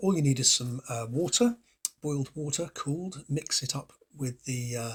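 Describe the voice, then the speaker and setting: With an English accent, a man speaks at a moderate pace in a fairly high pitch and with lively intonation. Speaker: DIY guitar pedal maker. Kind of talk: tutorial. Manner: casual rambling with many fillers.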